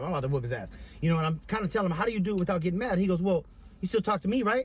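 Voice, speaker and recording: A man speaks loudly at a very fast pace. His pitch is high and his intonation lively. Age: 30s. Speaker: podcast co-host, father. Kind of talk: casual chat. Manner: animated.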